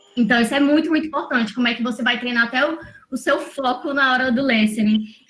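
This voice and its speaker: A woman talks at a very fast pace in a high voice. Background noise is noticeable. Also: fairly even intonation. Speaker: English teacher, former lawyer. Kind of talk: online mentoring session, teaching.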